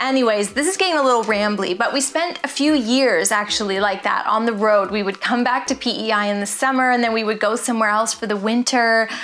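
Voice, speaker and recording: There is light background noise as a woman's voice comes through. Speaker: art vlogger. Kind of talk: casual vlog chat. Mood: warm, reminiscent. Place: home room.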